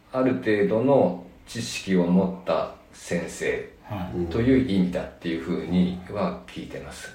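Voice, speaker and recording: A man speaks at a fairly slow pace with big swings in loudness, over audible room echo and noticeable background noise. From Nagano, Japan. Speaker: veterinarian. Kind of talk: interview. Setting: exam room.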